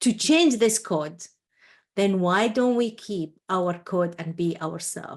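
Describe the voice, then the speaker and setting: At a very slow pace, a woman with an Iraqi accent speaks in a passionate tone at medium pitch with ordinary pitch variation against a quiet background. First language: Arabic. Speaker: entrepreneur and coach. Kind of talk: interview. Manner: halting.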